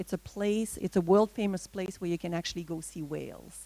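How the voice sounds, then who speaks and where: A woman's dark, mellow, fairly low voice in a Quebec accent, with ordinary pitch variation at a fairly quick pace. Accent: Québécois French accent in English. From Quebec, Gaspé Peninsula (Matane). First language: French. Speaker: veterinarian. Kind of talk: presentation. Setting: talk with audience, microphone. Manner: halting, many fillers.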